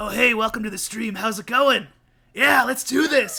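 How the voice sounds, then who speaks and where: A gruff, put-on character voice from a man, pitched extremely high, raised and projected, at a moderate pace. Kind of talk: casual, friendly greeting.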